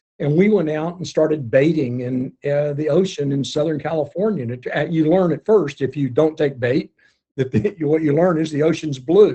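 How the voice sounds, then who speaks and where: A man's fairly high voice with a dark, mellow tone, somewhat breathy, with ordinary pitch variation and an American accent. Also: moderate pace. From US South, Arkansas. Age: 70s. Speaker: underwater photographer. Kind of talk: interview. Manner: halting, many repeats.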